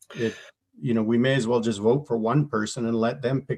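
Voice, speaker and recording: A man speaks with a Canadian accent at a medium pitch. His pace is fairly quick and his intonation fairly even. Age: 60s. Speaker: engineer. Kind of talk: interview. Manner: halting.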